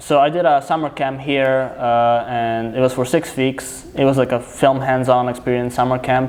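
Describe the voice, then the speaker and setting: Delivered at a moderate pace with hardly any pauses, the speech is monotone and flat, with noticeable background noise behind it. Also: man, medium pitch for a man. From Serbia. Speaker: filmmaker. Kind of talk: casual chat.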